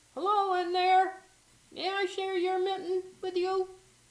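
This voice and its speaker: A woman puts on a squeaky character voice at an extremely high pitch. She speaks at a fairly slow pace in a flat monotone. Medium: read story.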